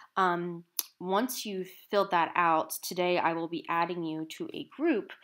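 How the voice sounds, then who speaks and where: A plain, everyday voice from a woman, fairly low in pitch with ordinary pitch variation, in a very clean recording with a silent background. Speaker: college composition instructor. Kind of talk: screen-capture tutorial. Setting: screen recording on laptop.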